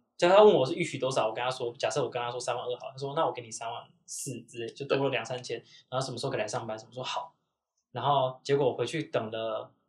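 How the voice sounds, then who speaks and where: The voice runs at a very fast pace, somewhat breathy, with ordinary pitch variation and big swings in loudness. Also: man, medium pitch for a man. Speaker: podcast host. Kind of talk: casual chat.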